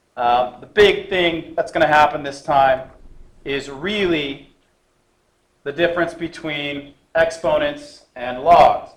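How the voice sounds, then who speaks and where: Audible room echo accompanies a man speaking very slowly at a fairly high pitch with fairly even intonation. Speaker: math teacher. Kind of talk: lecture.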